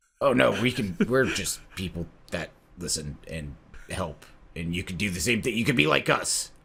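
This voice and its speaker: A raspy, put-on character voice from a man, very deep and low in pitch. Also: moderate pace. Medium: actual play. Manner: glib, fast-talking.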